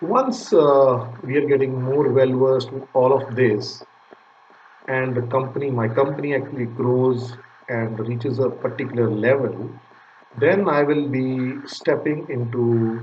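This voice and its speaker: A man with a medium-pitched voice, fairly even intonation and a fairly slow pace, amid noticeable background noise and audible room echo. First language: Punjabi. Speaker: data recovery business owner. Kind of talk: channel intro talk to camera. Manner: hesitant, many fillers.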